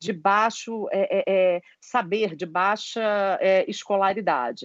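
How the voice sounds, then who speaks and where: This woman's voice sits fairly high in pitch. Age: 50s. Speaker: HR consultant and psychologist. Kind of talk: interview.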